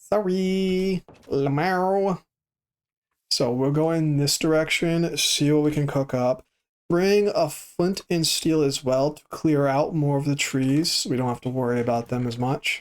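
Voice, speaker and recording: This speech moves at a fairly slow pace. The voice stays quiet. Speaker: game streamer. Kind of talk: live gameplay commentary. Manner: lowered voice, quieter; casual, chatty.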